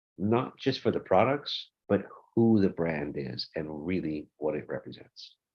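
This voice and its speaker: A man's very deep, low voice at a fairly slow pace, with very wide pitch swings. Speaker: audio brand representative. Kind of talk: webinar presentation.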